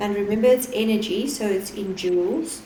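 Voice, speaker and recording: A woman talks at a fairly high pitch and a moderate pace with ordinary pitch variation. Audible room echo and noticeable background noise are present. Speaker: physics teacher. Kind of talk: lesson.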